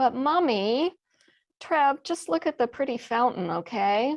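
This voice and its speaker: In a Texas accent, a woman speaks at a fairly slow pace with very wide pitch swings. The sound is dry and close with no echo, and the background is quiet. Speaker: mystery novelist. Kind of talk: reading aloud.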